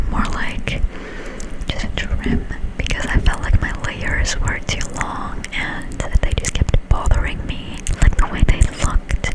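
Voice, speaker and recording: Whispering at a fairly slow pace, the speaker is accompanied by noticeable background noise. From Finland. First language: Finnish. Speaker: ASMR creator. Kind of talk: whispered ASMR ramble. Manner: casual.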